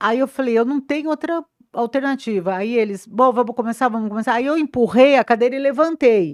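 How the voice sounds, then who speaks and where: At a fairly quick pace with ordinary pitch variation, the speech comes through dry and close with no echo on a very clean recording with a silent background. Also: woman, high pitch for a woman. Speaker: press officer. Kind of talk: interview. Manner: animated.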